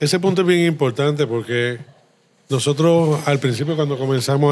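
Here a man with an unremarkable speaking voice talks at a moderate pace, his fairly high pitch showing ordinary pitch variation. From Puerto Rico, Río Piedras. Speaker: brewery co-founder. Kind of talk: interview conversation. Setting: beer shop.

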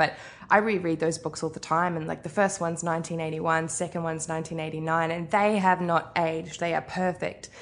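A woman's fairly quick speech in a New Zealand accent, fairly low in pitch, against a quiet background. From New Zealand, Arrowtown near Queenstown. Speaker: author. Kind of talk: interview. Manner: casual with frequent fillers.

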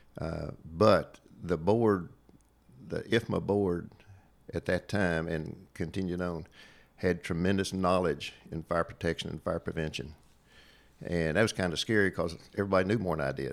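A man with a slight Appalachian accent speaks in a very deep, low pitch. He leaves long, frequent pauses in a very clean recording over a silent background. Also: fairly even intonation, moderate pace. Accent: Southern Appalachian twang, slight. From Southwest Virginia. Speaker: retired state fire marshal. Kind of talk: casual interview conversation. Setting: in-person studio.

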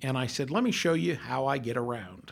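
An American accent marks this man's speech at a moderate pace. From US West, Colorado. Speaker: university administrator, accessibility advocate. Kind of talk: casual chat.

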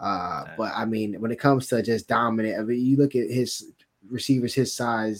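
A man talks in an unremarkable speaking voice at a medium pitch with fairly even intonation. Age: 20s. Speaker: sports podcast co-host. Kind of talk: casual chat.

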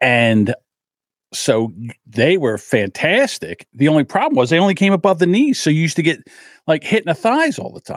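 With a New Jersey accent, a man speaks at a moderate pace with very wide pitch swings and big swings in loudness. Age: 60s. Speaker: podcast host. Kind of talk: casual monologue. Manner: animated.

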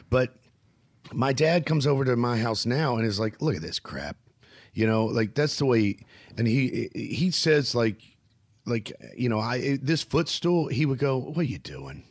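A man with a Southern US accent, medium pitch, ordinary pitch variation, a moderate pace and long, frequent pauses. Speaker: stand-up comedian and podcast host. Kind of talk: casual chat. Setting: video call.

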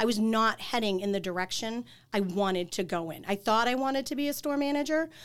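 A woman with a slight Boston accent speaks at a fairly quick pace with lively intonation and a fairly high pitch. The recording is very clean, with a silent background. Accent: Boston accent, slight to moderate. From Boston area, Massachusetts. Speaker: life insurance agent. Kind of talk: casual chat.

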